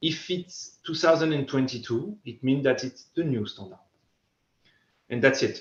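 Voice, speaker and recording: The speaker talks with a French accent and ordinary pitch variation. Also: man. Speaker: safety equipment company speaker. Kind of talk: conference presentation. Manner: halting, many repetitions and fillers.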